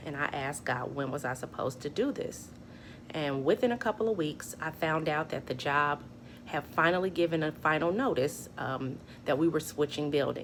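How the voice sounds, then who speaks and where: Shaky and very deep in pitch, this woman's voice moves at a moderate pace with ordinary pitch variation. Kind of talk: personal testimony talk to camera.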